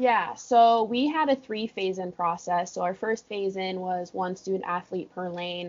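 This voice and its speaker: At a fairly slow pace, a woman speaks in a normal speaking voice of medium pitch, with ordinary pitch variation. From California. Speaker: college water polo coach. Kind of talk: casual interview. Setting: office at pool deck.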